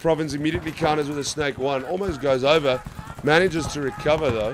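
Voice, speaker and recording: A man's fairly high voice at a very fast pace, with noticeable background noise. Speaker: paintball commentator. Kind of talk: live commentary. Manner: animated.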